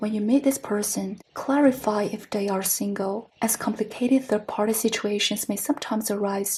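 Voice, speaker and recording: A woman's fairly high, somewhat breathy voice with a dark, mellow tone at a moderate pace. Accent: non-native. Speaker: tarot reader. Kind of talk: tarot reading to camera.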